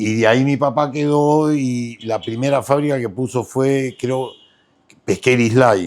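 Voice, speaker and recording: This man talks at a fairly slow pace. His pitch is medium, with ordinary variation. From Peru, Mollendo (southern coast). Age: 60s. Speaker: businessman. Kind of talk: interview. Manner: halting.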